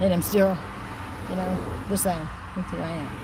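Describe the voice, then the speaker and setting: Background noise is noticeable in this clip. Through it, a woman talks at a medium pitch. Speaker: YouTuber. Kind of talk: casual livestream chat. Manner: loud when aggravated; halting, repetitive.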